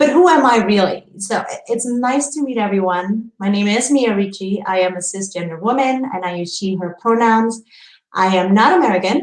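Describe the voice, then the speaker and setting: A woman at a medium pitch with a non-native accent, lively intonation and a fairly quick pace. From Indonesia. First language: not English. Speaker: publishing professional. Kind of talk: conference presentation. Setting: virtual symposium. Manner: halting, many fillers and repeats.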